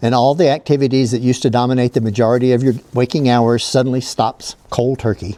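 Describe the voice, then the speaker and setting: Dry and close with no echo, a man's voice has a dark, mellow tone at a medium pitch. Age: 70s. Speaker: retired llama farmer, vlogger. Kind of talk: reflective monologue to camera. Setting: outdoors walking with a llama.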